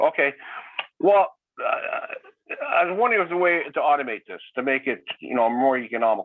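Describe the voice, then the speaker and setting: A man with a Canadian accent at a fairly quick pace. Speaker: local resident. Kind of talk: community meeting comment. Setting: video call. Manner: fast.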